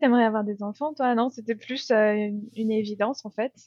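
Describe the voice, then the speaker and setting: With a plain, everyday voice, a woman speaks at a fairly high pitch with ordinary pitch variation, in a dry, close sound with no echo. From France. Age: 30s. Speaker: expat mother. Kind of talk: interview testimony.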